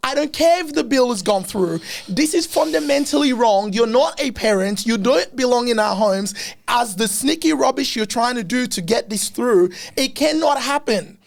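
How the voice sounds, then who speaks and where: A man with an extremely high-pitched voice talks at a moderate pace in an animated tone with lively intonation, music playing in the background. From Africa. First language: not English. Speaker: podcast host. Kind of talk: casual interview chat.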